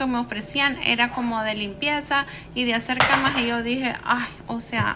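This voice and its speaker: A woman speaks at a moderate pace in a high, monotone voice. Noticeable background noise runs beneath her flat delivery. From El Salvador, San Salvador. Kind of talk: personal life story told to camera.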